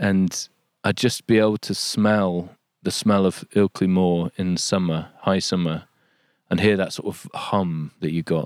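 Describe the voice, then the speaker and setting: In a Yorkshire accent, a man speaks fairly slowly at a very deep, low pitch with fairly even intonation. The recording is very clean and dry, close with no echo, and the background is silent. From Yorkshire, England. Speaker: nature writer. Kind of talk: casual interview. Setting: outdoors.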